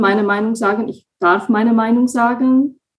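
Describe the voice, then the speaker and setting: A woman with a Slovak accent speaks fairly slowly in a fairly high, somewhat breathy voice with ordinary pitch variation. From Slovakia. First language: Slovak (speaking German). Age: 20s. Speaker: coaching client, project assistant. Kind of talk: interview.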